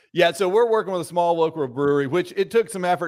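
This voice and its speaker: Amid noticeable background noise, a man races along at a very fast pace, his intonation lively. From Georgia, north of Atlanta. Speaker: entrepreneur. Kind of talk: interview.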